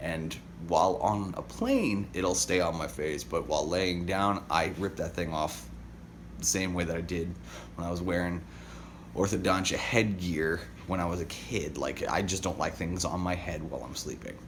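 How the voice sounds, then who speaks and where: There's audible room echo around a man's very deep, low voice with vocal fry. He keeps a moderate pace, and his pitch varies in an ordinary way. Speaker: daily vlogger. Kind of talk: casual vlog monologue.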